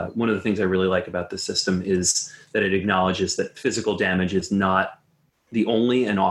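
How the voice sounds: The voice is a natural reading voice. That is how the whole clip sounds.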